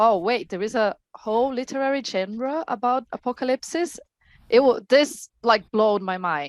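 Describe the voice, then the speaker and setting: Heard dry and close with no echo against a quiet background, a woman with a Portuguese accent speaks with lively intonation. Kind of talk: panel discussion.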